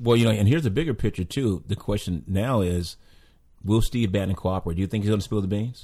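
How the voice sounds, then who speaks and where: Over a silent background in a very clean recording, a man with a fairly low pitch speaks at a very fast pace, his dark, mellow voice somewhat breathy and showing ordinary pitch variation. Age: 60s. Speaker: podcast panelist. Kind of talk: casual political discussion.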